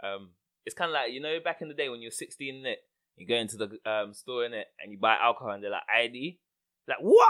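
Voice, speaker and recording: Speaking very fast with a London accent, a man swings widely in loudness. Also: medium pitch for a man, ordinary pitch variation. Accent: London multicultural English. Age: 30s. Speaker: podcast host. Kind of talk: casual chat.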